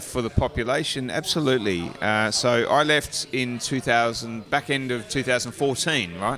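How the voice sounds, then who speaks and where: Over noticeable background noise, a man in an Australian accent talks at a fairly slow pace, his medium pitch showing ordinary variation. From Australia, Gold Coast, Queensland. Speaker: brewery owner. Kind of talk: casual chat. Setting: pub.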